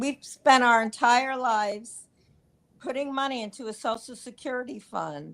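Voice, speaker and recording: On a very clean recording with a silent background, a woman speaks at a high pitch and a fairly slow pace. Her tone is animated, with ordinary pitch variation. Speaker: caller. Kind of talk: casual chat.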